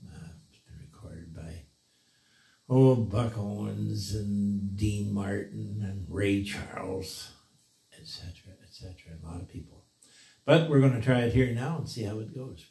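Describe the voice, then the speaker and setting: Over music in the background and audible room echo, a man speaks at a fairly slow pace and fairly low pitch. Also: ordinary pitch variation, big swings in loudness. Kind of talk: casual vlog chat. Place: home room.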